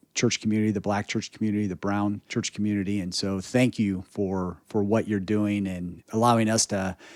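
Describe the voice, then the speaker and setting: Recorded very cleanly against a silent background, with a dry, close sound and no echo, a man with a fairly low pitch speaks at a moderate pace in a monotone, flat way. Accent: American. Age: 40s. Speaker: podcast host. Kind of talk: interview conversation.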